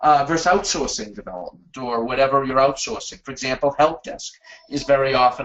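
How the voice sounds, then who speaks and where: A man with a Boston accent talks at a fairly quick pace and a fairly high pitch. His loudness swings widely while his pitch varies in an ordinary way. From US Northeast, Boston. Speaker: webinar presenter, management consultant. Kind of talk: webinar presentation. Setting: online webinar.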